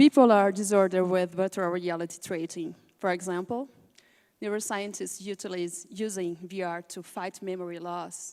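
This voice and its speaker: A woman with a Portuguese accent speaks with big swings in loudness. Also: medium pitch for a woman, fairly even intonation, moderate pace. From Brazil, Rio de Janeiro. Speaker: film cinematographer and director. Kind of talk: panel presentation. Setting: conference panel. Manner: halting, searching for words.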